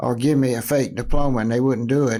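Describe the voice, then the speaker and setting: With a North Carolina accent, a man talks in a fairly even intonation. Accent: Southern US (North Carolina). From North Carolina, Kannapolis. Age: 80s+. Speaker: former pro sports team owner. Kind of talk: interview. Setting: podcast recording. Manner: halting, many fillers.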